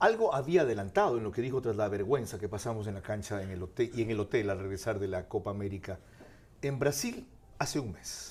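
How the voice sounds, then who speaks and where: In a somewhat breathy voice, a man keeps up a fairly quick pace. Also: fairly low pitch for a man, ordinary pitch variation. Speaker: TV political commentator and interviewer. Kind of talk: scripted editorial narration.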